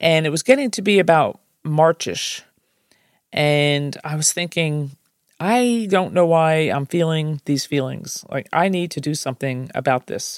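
A woman with a New Jersey accent talks at a fairly slow pace, her pitch very deep and low with ordinary variation. The sound is dry and close, with no echo. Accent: New Jersey American. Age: 60s. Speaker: podcast host. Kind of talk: personal storytelling monologue.

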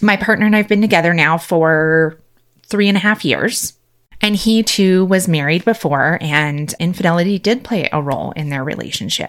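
On a very clean recording with a silent background, a woman uses a normal speaking voice, fairly low in pitch, with ordinary pitch variation at a moderate pace. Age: 40s. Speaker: podcast host and nurse coach. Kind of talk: solo personal monologue.

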